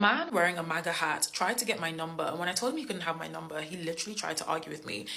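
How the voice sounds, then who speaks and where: Talking at a very fast pace in an English accent, a woman has a fairly low pitch, ordinary pitch variation and an animated tone. Audible room echo and noticeable background noise surround her. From England. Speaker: social media creator. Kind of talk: storytelling.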